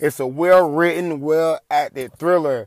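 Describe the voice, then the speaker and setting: A man with a fairly high pitch speaks at a moderate pace in an animated tone. The recording is very clean and dry, close with no echo, over a silent background. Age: 20s. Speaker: solo podcast host, film and TV critic. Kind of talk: casual solo commentary.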